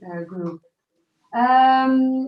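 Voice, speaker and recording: A woman with a Dutch accent and ordinary pitch variation. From Flanders, Belgium. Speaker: farmer. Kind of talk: panel introduction. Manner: halting.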